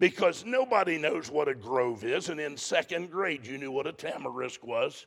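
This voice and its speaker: A man is speaking. His pace is moderate. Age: 60s. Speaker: preacher. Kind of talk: sermon. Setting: church with congregation.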